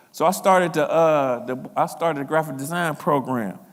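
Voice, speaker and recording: Audible room echo carries a man's voice with an American accent. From US Midwest, East Cleveland, Ohio. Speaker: art educator and design consultant. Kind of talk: conference talk. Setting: stage with audience. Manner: casual, conversational.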